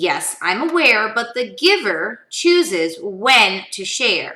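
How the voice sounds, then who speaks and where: A put-on character voice at a very slow pace, with very wide pitch swings. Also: woman, fairly high pitch for a woman. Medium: read story. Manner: calm, instructive.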